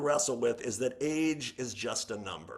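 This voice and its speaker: A man with an ordinary speaking voice talks at a moderate pace, pitched fairly high with ordinary pitch variation. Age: 60s. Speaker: podcast guest. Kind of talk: casual chat.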